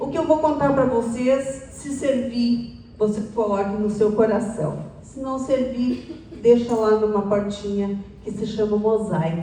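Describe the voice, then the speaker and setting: A woman with a fairly high pitch talks at a very slow pace with hardly any pauses, her loudness swinging widely and her pitch varying in an ordinary way. Audible room echo and noticeable background noise fill the recording. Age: 60s. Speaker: public speaker. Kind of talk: talk to an audience.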